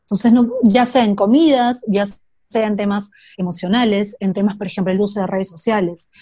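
A woman's dark, mellow, somewhat breathy voice with fairly even intonation. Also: medium pitch for a woman, moderate pace. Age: 20s. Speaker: psychologist. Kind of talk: casual interview chat. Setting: video call.

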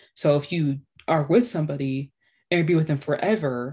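The woman's voice is somewhat breathy. Its tone is dark and mellow. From Haitian heritage. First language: Haitian Creole and French. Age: 20s. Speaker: podcast host. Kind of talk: casual chat.

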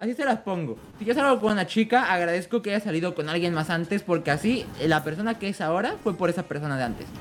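Talking at a very fast pace with hardly any pauses, a man with a high pitch and lively intonation is heard over noticeable background noise. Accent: Mexican. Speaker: podcast co-host. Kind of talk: casual chat. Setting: live stream.

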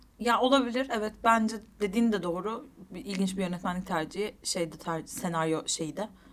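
With an ordinary speaking voice, a woman of medium pitch talks at a moderate pace with ordinary pitch variation. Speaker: film podcast co-host. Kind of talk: casual chat.

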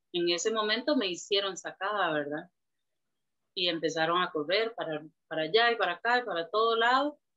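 At a fairly quick pace, a woman speaks in a normal speaking voice with medium pitch. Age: 40s. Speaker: churchgoer sharing life story. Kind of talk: testimony.

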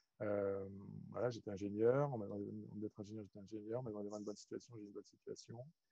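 Dark, mellow tone at a fairly quick pace, with a dry, close sound and no echo. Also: man. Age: 40s. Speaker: energy healer and business coach. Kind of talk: interview. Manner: halting, many fillers and repetitions.

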